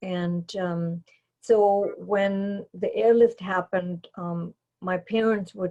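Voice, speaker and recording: A somewhat breathy woman with a German accent, dark and mellow in tone, fairly even in intonation, at a very slow pace. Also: dry, close sound with no echo. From Germany, East Berlin. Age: 70s. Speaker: airlift witness. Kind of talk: testimony. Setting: video recording. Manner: halting.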